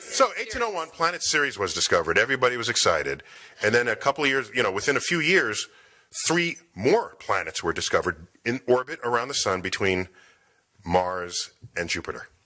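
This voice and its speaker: A man's bright, sharp voice with vocal fry, very wide pitch swings and a fairly quick pace. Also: medium pitch for a man. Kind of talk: broadcast style. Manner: radio-like.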